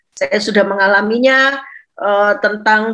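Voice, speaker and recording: With a bright, sharp tone, a woman speaks at a moderate pace, her pitch fairly high with ordinary variation. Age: 60s. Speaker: doctor and pastor's wife. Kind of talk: online talk to women. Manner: halting with fillers.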